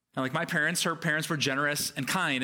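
A man speaks at a fairly high pitch with a bright, sharp tone. Room echo is audible. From United States. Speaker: pastor. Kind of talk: sermon. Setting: church.

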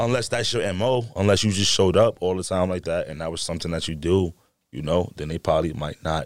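A man with a New York accent and a very deep, low pitch, talking at a very fast pace with ordinary pitch variation, on a very clean recording with a silent background. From New York, the Bronx. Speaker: adult film performer. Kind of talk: casual chat.

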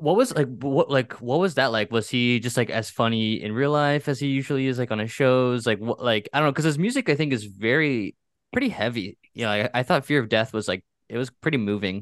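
A man with a normal speaking voice talks at a fairly quick pace and medium pitch, with ordinary pitch variation. The sound is dry and close with no echo, over a quiet background. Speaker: podcast co-host. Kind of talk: casual chat.

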